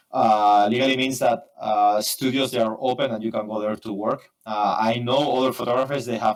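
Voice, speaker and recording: In a Spanish accent, the speaker talks in a flat monotone with hardly any pauses. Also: man. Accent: Spanish accent, imperfect English. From Spain, Barcelona. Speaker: photographer and software engineer. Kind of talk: interview. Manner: fast; halting, many fillers.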